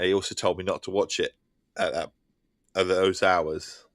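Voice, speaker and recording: In a very clean recording with a silent background, a man with an Essex accent sounds dry and close with no echo. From England. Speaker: gaming streamer. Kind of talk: casual chat. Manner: halting.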